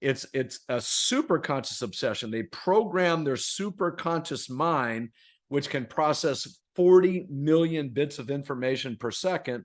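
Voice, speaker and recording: The recording has a quiet background, and a man with an American accent has an unremarkable speaking voice at a fairly high pitch. He talks at a fairly slow pace with hardly any pauses and lively intonation. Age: 60s. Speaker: author and performance coach. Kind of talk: podcast interview. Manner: repetitive false starts.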